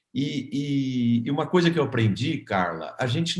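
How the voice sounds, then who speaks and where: A man with a fairly high, somewhat breathy voice speaks at a fairly slow pace with lively intonation. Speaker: agribusiness consultancy founder. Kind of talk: interview testimony. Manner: hesitant, repeats words.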